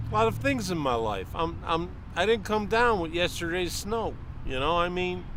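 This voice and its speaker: With very wide pitch swings, a man speaks in a high voice, and audible room echo surrounds him. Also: moderate pace. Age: 60s. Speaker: passer-by interviewee. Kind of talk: street interview, heated opinion. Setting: outdoors in a park. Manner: animated.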